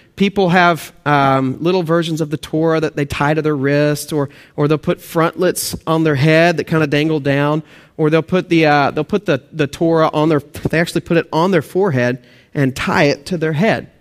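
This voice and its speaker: In a Texan accent, a man with a fairly high pitch talks at a moderate pace with fairly even intonation and very even loudness, the sound dry and close with no echo, on a very clean recording with a silent background. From Texas/Oklahoma. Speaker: pastor. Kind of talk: sermon.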